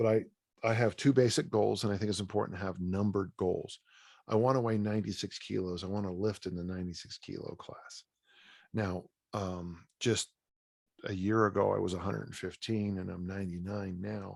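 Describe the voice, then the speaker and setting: In a very clean recording with a silent background, a man speaks at a fairly quick pace in a fairly low pitch, his intonation fairly even but his loudness swinging widely. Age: 60s. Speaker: strength coach and author. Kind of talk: interview. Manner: casual, halting with false starts.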